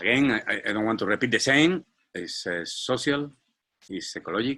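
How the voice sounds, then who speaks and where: Speaking at a moderate pace in a Spanish accent, a man has a bright, sharp tone, a medium pitch and lively intonation. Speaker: startup founder and CEO. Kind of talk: business presentation. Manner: halting, many fillers and repetitions.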